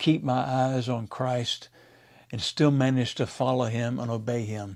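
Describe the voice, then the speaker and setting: Here is a man with an unremarkable speaking voice and an American accent. His medium pitch carries fairly even intonation. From Mississippi, USA. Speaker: pastor. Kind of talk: devotional talk to camera.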